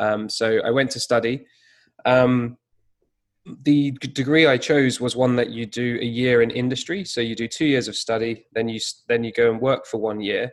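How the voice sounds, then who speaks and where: The speaker talks at a moderate pace with a British accent and fairly even intonation. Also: man, medium pitch for a man. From UK. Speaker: digital marketing consultant. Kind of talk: interview conversation.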